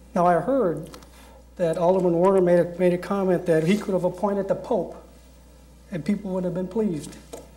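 Speaking at a fairly quick pace with long, frequent pauses, a man with a high pitch keeps his intonation fairly even while audible room echo surrounds him. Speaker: city council member. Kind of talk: council meeting debate.

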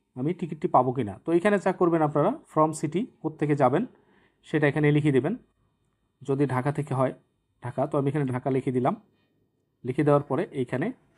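A man's fairly high-pitched voice with ordinary pitch variation, on a very clean recording with a silent background. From Bangladesh, Naogaon. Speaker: YouTube tech tutorial creator. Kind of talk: screen-recorded tutorial. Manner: halting, with frequent pauses.

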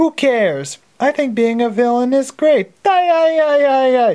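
A female-sounding voice cackles in a put-on character voice. The pitch is high. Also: moderate pace. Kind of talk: comic overacting. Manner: giddy, cackling, bratty.

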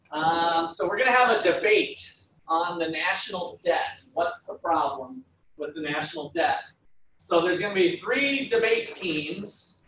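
A man with a high pitch and lively intonation at a fairly slow pace, with audible room echo and light background noise. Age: 40s. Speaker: economics professor. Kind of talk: lecture. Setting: classroom with students. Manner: halting. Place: classroom. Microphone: camera far.

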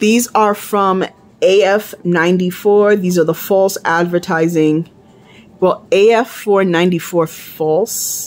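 A woman speaks very slowly at a medium pitch, with fairly even intonation and very even loudness, over noticeable background noise. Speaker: beauty vlogger. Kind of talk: unboxing review. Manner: casual, slightly confused.

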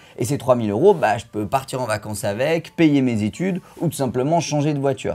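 A man with a dark, mellow tone talks at a medium pitch, his intonation lively. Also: fairly quick pace. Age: 20s. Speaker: real estate investor and YouTuber; YouTuber. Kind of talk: educational video monologue. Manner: animated. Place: home room. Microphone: studio mic.

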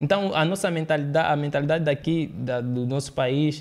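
A man talks at a fairly high pitch and a moderate pace. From Angola, partly raised in Brazil. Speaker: public speaker; podcast guest or host. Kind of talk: interview conversation. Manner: halting, frequent repetitions. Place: studio. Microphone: studio mic.

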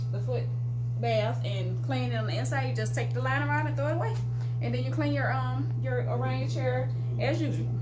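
A woman at a moderate pace, with loud background noise. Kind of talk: interview answer. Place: shop. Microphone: phone near.

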